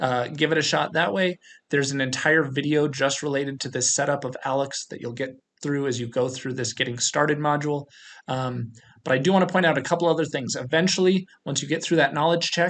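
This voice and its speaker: Over a quiet background, a man with a plain, everyday voice and a fairly high pitch talks at a fairly quick pace with ordinary pitch variation. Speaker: college math instructor. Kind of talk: course orientation tutorial with screen walkthrough. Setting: recorded screencast video.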